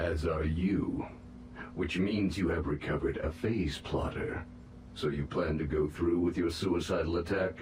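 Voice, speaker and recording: A man's put-on character voice at a very deep, low pitch and moderate pace, with slight echo and clear background noise. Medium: video game. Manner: formal, measured.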